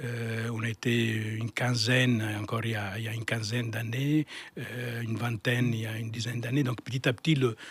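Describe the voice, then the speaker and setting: This man's voice is somewhat breathy and medium in pitch, moving at a fairly quick pace. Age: 60s. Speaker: architect, firm founder. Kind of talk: interview. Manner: halting, many repetitions and fillers.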